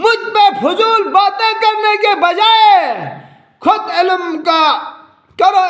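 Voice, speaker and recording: A man's voice with audible room echo. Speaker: Shia religious speaker. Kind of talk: religious speech to followers. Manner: animated.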